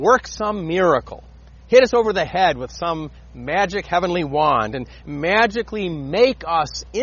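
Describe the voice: The delivery is plain reading aloud, carried by lively intonation.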